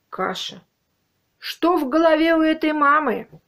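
A quiet background behind a woman's voice. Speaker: video blogger commenting. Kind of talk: casual vlog chat, commentary. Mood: mocking, indignant. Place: home room. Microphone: webcam.

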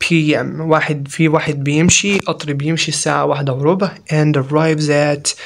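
Noticeable background noise sits behind a man with a fairly high pitch. He talks at a moderate pace in a flat monotone, with hardly any pauses. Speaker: English teacher. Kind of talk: lecture.

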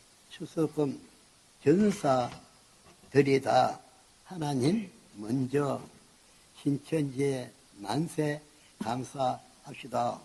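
The speech moves at a very slow pace with long, frequent pauses and ordinary pitch variation. Noticeable background noise runs underneath. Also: man, fairly high pitch for a man. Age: 80s+. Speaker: cult leader. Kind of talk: sermon to followers. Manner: rambling, incoherent.

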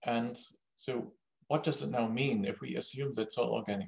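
With vocal fry and ordinary pitch variation, a man speaks at a moderate pace over a quiet background. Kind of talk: lecture. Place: home room. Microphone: webcam.

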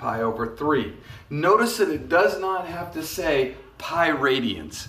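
A man talks at a very slow pace, with audible room echo. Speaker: math teacher. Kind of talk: lecture. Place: classroom. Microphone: phone near.

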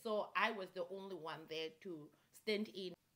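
Faint music can be heard in the background. Over it, a woman talks. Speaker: vlogger. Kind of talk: casual vlog storytelling. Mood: animated, recounting shocking story. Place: home room.

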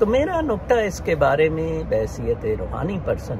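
A man at a very slow pace, dry sound with no echo, noticeable background noise. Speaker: religious commentator. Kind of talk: casual vlog commentary on religion and politics. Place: garden. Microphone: phone near.

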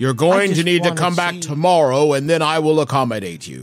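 A man uses a put-on character voice at a fairly high pitch. He talks at a fairly quick pace with ordinary pitch variation while faint music plays in the background. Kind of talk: formal customer-service speech. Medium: actual play. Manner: stiff, polite, evasive.

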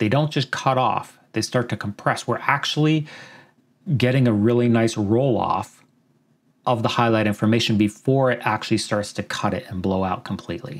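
With a Canadian accent, a man talks at a moderate pace and with ordinary pitch variation. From Canada. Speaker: video editing tutor. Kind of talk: tutorial.

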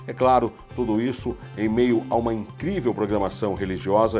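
Moderate-paced speech with ordinary pitch variation over clear music in the background. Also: man. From Brazil. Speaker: radio programming coordinator and announcer. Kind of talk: radio promo announcement. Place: studio. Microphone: lapel.

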